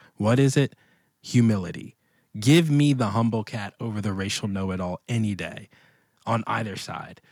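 A plain, everyday voice from a man with an American accent, fairly low pitch, ordinary pitch variation and a moderate pace. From Washington, D.C. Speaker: pastor and author. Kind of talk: casual interview conversation.

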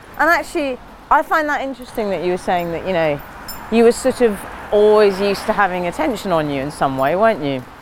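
Very fast speech from a woman at medium pitch, with very wide pitch swings, over noticeable background noise. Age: 40s. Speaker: podcast host. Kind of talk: casual chat. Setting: outdoors.

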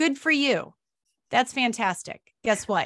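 A woman with a plain, everyday voice, ordinary pitch variation and a moderate pace on a very clean recording with a silent background. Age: 40s. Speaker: wilderness guide and trauma recovery coach. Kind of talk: interview.

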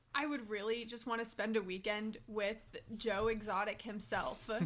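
Speaking at a fairly slow pace, a woman uses a fairly high pitch marked by vocal fry. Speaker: podcast guest, TV fan.

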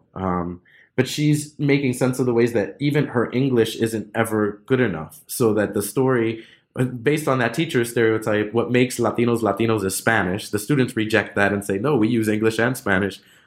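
In a normal speaking voice, a man talks fairly quickly at medium pitch with ordinary pitch variation and very even loudness, recorded very cleanly against a silent background. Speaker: academic author. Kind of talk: interview. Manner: formal, academic.

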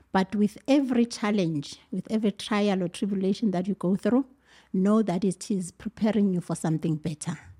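A woman's somewhat breathy voice at a medium pitch, dark and mellow in tone, fairly quick in pace with ordinary pitch variation, in a very clean, dry and close recording with a silent background and no echo. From South Africa, Mpumalanga. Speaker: teacher and mother. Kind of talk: casual chat.

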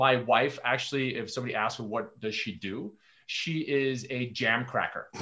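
Speaking at a moderate pace and medium pitch, a man has a bright, sharp tone and ordinary pitch variation. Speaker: founder, storytelling consultant. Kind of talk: casual interview chat.

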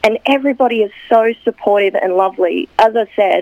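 A woman speaks with an Australian accent. Her pitch variation is ordinary. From Newcastle, Australia. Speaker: actress. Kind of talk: radio interview, casual chat. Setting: radio studio.

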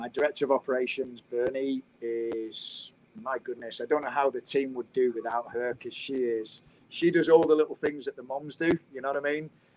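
A man with a British accent speaks at a moderate pace in a fairly high pitch, his intonation fairly even but his loudness swinging widely. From England. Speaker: college soccer coach. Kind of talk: casual interview chat.

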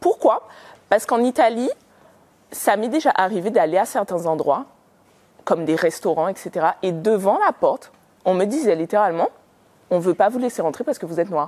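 Using lively intonation and a medium pitch, a woman with a non-native accent speaks at a moderate pace, leaving long, frequent pauses. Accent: rolled R, non-French. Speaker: panel speaker. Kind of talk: live talk with audience. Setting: event venue with audience.

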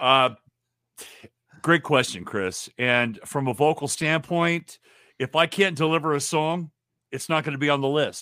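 A man's bright, sharp voice at a fairly high pitch, fairly slow with long, frequent pauses and ordinary pitch variation, on a very clean recording with a silent background. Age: 60s. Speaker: rock vocalist. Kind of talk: casual chat.

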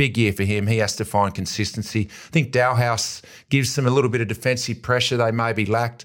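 At a very fast pace, a man with an Australian accent talks at medium pitch with fairly even intonation. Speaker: AFL footballer and football pundit. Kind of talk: casual chat.

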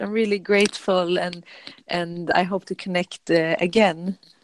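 Her Swedish accent comes through as a woman speaks in a dry, close sound with no echo. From Sweden. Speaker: yoga teacher. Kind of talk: casual chat. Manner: calm; halting.

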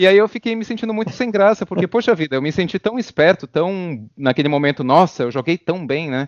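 A man's high, lively voice at a fairly quick pace with hardly any pauses. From Brazil. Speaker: competitive card game player. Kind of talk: podcast interview.

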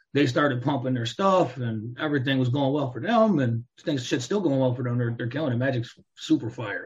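At a fairly quick pace with hardly any pauses, a man speaks in a somewhat breathy, medium-pitched voice with ordinary pitch variation. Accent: American. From Chicago area, US Midwest. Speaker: rapper. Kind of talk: casual interview.

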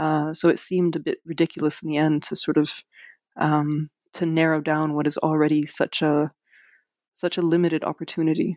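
A woman speaks at a fairly quick pace in a very deep, low pitch, her intonation monotone and flat. The sound is dry and close, with no echo. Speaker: writer. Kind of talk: interview. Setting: video call from home. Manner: hesitant, many fillers.

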